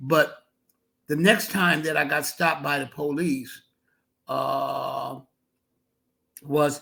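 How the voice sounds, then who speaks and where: A man's bright, sharp tone at a very slow pace, with long, frequent pauses and fairly even intonation, in a very clean recording with a silent background. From Northern California, Menlo Park. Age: 70s. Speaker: criminal justice reform advocate and author. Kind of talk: podcast interview. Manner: halting, many fillers and repetitions.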